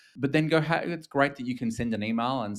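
With an Australian accent, a man speaks fairly quickly with ordinary pitch variation. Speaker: technology business executive. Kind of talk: interview. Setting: remote call from home.

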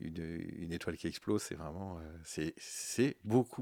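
Here a man speaks with ordinary pitch variation. The sound is dry and close with no echo, on a very clean recording with a silent background. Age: 50s. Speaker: astrophysics professor and researcher. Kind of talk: radio interview. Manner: halting, with frequent repetitions.

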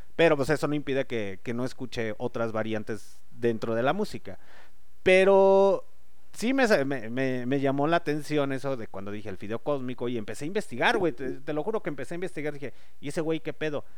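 A man's normal speaking voice, fairly high in pitch, fairly quick, with lively intonation. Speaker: radio host. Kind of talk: casual chat. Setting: studio.

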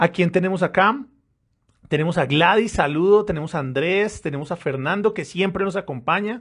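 A man with a high-pitched voice talks rather quickly. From Bogotá, Colombia. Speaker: podcast host. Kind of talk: live show hosting. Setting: live stream.

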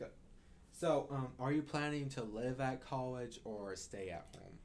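With ordinary pitch variation, a man speaks in a plain, everyday voice pitched fairly high. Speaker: college student co-host. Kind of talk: casual chat.

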